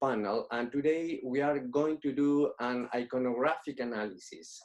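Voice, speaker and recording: A man with a Spanish accent speaks at a medium pitch and a moderate pace. His pitch varies in an ordinary way. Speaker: painter and art teacher. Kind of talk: lecture.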